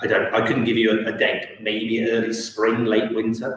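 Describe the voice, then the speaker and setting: Speaking at a moderate pace with an English accent, a man is heard with audible room echo. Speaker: town councillor. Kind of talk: council meeting report. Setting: council chamber, live-streamed.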